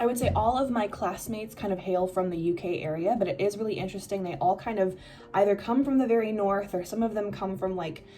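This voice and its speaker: A woman with a Midwestern accent speaks very fast with hardly any pauses, at a medium pitch with ordinary pitch variation, over noticeable background noise. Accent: Midwest American. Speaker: exchange student vlogger. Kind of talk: casual vlog. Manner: casual, many fillers.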